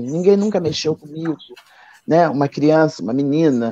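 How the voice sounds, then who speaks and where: Pitch rises and falls in an ordinary way. The delivery is fairly slow. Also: woman. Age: 60s. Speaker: candomblé priestess and author. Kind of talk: live stream book launch conversation. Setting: online live stream.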